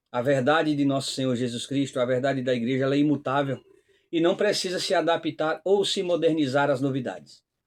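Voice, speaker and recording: Fairly high male voice with a northeastern Brazilian accent, fairly quick pace and fairly even intonation against a quiet background. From Northeast Brazil. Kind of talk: religious commentary talk. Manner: hesitant, frequent fillers.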